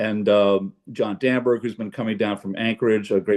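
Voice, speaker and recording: A man speaks with monotone, flat intonation at a moderate pace. His pitch is fairly low. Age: 60s. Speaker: jazz pianist. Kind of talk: casual chat. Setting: video call. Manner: halting, many fillers.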